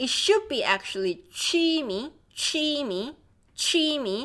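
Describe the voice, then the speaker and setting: With a Korean accent, a woman speaks very slowly with lively intonation. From South Korea. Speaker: language teacher. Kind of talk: live online language class. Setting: livestream.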